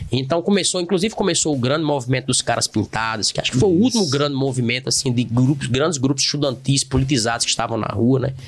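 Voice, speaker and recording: A man speaks at a very fast pace, with hardly any pauses, at a medium pitch and ordinary pitch variation. Noticeable background noise can be heard. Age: 40s. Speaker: podcast host, humanities teacher. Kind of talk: casual educational discussion.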